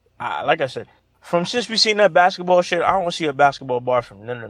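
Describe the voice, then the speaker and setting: Talking at a very fast pace, a man with a New York accent uses a fairly high pitch. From Brooklyn, New York. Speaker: caller. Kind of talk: casual chat.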